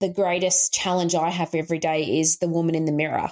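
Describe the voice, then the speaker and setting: A woman speaks at a fairly low pitch. The sound is dry and close, with no echo. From rural Queensland, Australia. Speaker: coach and author. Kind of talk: interview conversation.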